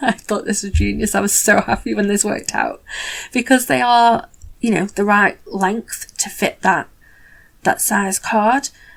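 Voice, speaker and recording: A woman speaks at a fairly slow pace and a medium pitch, with vocal fry. Her pitch varies in an ordinary way, in a very clean recording with a silent background. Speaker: card-making crafter. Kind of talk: tutorial voiceover. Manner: animated.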